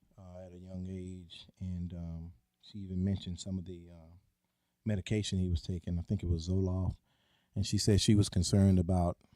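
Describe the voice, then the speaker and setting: In a Southern US accent, a man talks at a fairly quick pace with a very deep, low pitch, a dark, mellow tone, flat monotone intonation and big swings in loudness, on a very clean recording over a silent background. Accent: Southern twang. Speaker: podcast co-host. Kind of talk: casual podcast chat. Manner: halting, many fillers and repeats.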